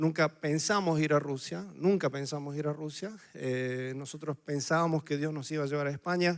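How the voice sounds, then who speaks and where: A man speaks with a strong Córdoba Argentine accent. The recording is very clean, with a silent background. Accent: Cordoba Argentine accent, still strong. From Argentina, Córdoba. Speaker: missionary pastor. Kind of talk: sermon.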